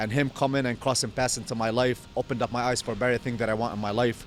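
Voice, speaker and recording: Speaking at a fairly quick pace and medium pitch, a man has a plain, everyday voice with fairly even intonation. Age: 30s. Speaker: meal prep business owner. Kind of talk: casual chat.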